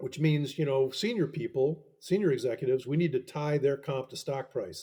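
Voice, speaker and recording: With an American accent, a man speaks at a moderate pace in a fairly high pitch, his tone dark, mellow and somewhat breathy, with ordinary pitch variation. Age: 70s. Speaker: professor and author. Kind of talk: interview. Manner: halting, many self-corrections.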